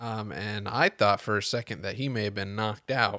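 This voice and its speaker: A man with an American accent and an unremarkable speaking voice, medium pitch and moderate pace, on a very clean recording with a silent background. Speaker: podcast host. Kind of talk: solo sports podcast recap. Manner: conversational, opinionated, filler-heavy; self-correcting.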